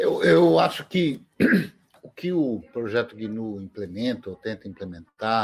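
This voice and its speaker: A man with a normal speaking voice talks at a fairly slow pace, his fairly low pitch carried by lively intonation on a very clean recording with a silent background. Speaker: livestream co-host. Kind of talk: casual chat.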